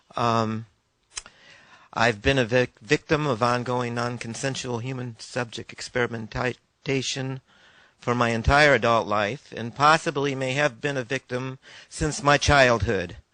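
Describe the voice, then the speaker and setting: A man with an American accent and an unremarkable speaking voice talks at a medium pitch and a fairly slow pace, with fairly even intonation, in a dry, close sound with no echo. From New York City. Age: 50s. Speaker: member of the public. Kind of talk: public testimony.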